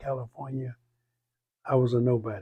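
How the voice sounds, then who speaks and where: A man is speaking. His voice has a dark, mellow tone and is somewhat breathy. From Texas. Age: 80s+. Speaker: community elder. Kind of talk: oral history interview. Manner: halting.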